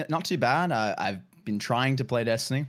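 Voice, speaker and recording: Here is a man with an Australian accent. He talks at a fairly quick pace with ordinary pitch variation. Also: very clean recording, silent background. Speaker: game streamer guest. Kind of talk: casual podcast chat.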